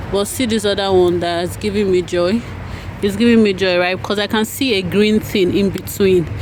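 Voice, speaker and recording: With a Nigerian accent, a woman talks at a moderate pace and medium pitch, with ordinary pitch variation and noticeable background noise behind her. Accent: Nigerian English, Igbo. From Nigeria (Igbo). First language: Igbo. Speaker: home gardener vlogger. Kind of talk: casual tutorial vlog. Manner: casual, halting.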